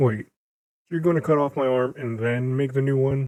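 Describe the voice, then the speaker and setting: A put-on character voice from a man, medium in pitch, at a moderate pace. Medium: read story. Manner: blunt, sarcastic.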